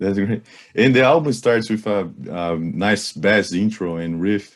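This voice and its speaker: A man talks at a very slow pace. He has a strong Brazilian accent. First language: Portuguese. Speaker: radio interviewer. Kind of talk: interview.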